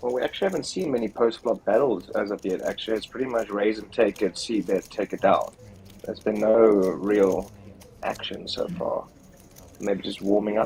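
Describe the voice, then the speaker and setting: A man with a plain, everyday voice talks at a moderate pace, his fairly low pitch showing ordinary pitch variation. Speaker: poker commentator. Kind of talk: live commentary. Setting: livestream broadcast.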